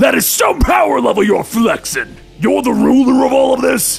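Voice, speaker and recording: Shouting in a put-on character voice, a man speaks at a moderate pace with an extremely high, raspy pitch over clear music in the background. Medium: read story. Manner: casual, flippant.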